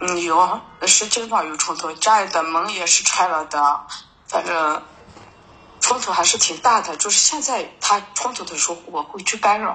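Over noticeable background noise, a woman with a northern Chinese accent speaks at a moderate pace and medium pitch. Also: ordinary pitch variation. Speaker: caller seeking counseling. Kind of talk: call-in counseling talk. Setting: phone call. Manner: halting, many fillers.

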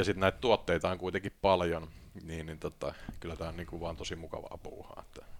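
Fairly quick pace from a man with a very deep, low pitch. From Finland, Tampere. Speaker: investment banker and author. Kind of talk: podcast interview. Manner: hesitant, many fillers.

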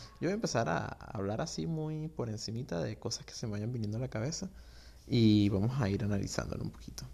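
A man's fairly low, somewhat breathy voice with a dark, mellow tone, very wide pitch swings and a fairly quick pace. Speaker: podcast host. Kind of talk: casual solo monologue. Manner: informal, unstructured.

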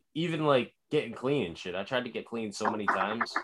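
This man has a bright, sharp tone. He speaks at a fairly quick pace. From rural New England. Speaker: podcast host, recovering addict. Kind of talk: casual chat. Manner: animated.

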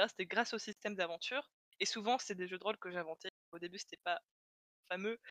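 A woman at a medium pitch, fairly even in intonation, with a dry, close sound and no echo. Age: 20s. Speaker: illustration student and role-player. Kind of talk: casual interview chat.

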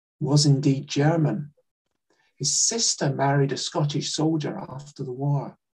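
Somewhat breathy and fairly high in pitch, a man speaks at a fairly slow pace. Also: long, frequent pauses. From Scotland, Glasgow. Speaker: writer and Holocaust educator. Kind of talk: talk with slides.

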